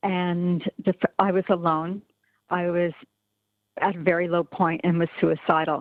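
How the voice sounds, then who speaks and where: This woman's voice sits at a fairly low pitch. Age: 60s. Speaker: member of the public speaking at a town hall. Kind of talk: testimony. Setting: virtual meeting call. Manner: halting.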